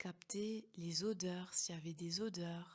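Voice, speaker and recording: A woman's bright, sharp voice holds a medium pitch with fairly even intonation. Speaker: hypnotherapist and coach. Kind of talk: guided meditation. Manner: slow, soft-spoken.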